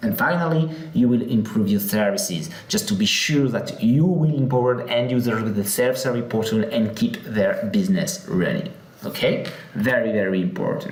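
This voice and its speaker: In a French accent, a man with a medium pitch and very wide pitch swings talks at a moderate pace with very even loudness, amid audible room echo and noticeable background noise. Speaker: software company product head. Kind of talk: conference presentation. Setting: live session at a conference. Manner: hesitant with many fillers.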